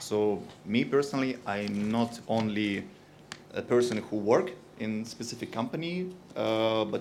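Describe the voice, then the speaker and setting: In a room with audible echo, a man with a Russian accent speaks at a medium pitch with lively intonation. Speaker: industry company representative. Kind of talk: conference talk. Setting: stage with audience. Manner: hesitant, many fillers.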